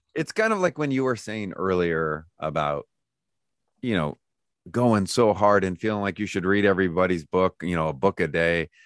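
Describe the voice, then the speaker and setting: A man with an American accent speaks at a moderate pace in a very deep, low voice. The sound is dry and close, with no echo. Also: ordinary pitch variation, quiet background. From California. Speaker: theology professor and author. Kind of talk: casual interview chat.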